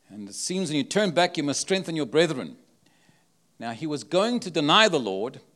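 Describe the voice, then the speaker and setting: With lively intonation, a man speaks in a South African accent on a very clean recording with a silent background. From South Africa, Cape Town. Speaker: travelling prophetic minister. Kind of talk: sermon. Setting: church with live audience.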